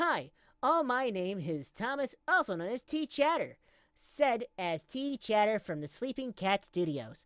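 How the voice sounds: A female-sounding voice puts on a character at a fairly high pitch for a woman, with very wide pitch swings. The pace is moderate, and the recording is very clean with a silent background.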